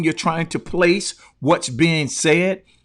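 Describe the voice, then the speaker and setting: A man speaks in a fairly high pitch on a very clean recording with a silent background. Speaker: motivational speaker. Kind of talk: livestream talk. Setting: live stream. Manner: loud; passionate.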